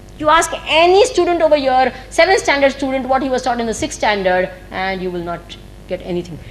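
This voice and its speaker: A woman with an Indian accent, high-pitched, at a fairly quick pace with very wide pitch swings, over noticeable background noise. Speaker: spiritual teacher. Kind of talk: spiritual discourse. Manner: fast.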